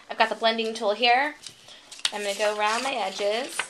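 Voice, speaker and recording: A woman's upbeat, fairly high voice at a fairly quick pace over noticeable background noise. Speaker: crafting video host. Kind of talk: tutorial. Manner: casual, upbeat.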